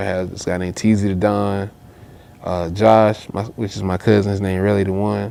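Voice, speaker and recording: With a strong Southern US accent, a man speaks at a moderate pace in a fairly low pitch and a monotone, flat intonation. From US South, Augusta, Georgia. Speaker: rapper. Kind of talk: casual interview chat.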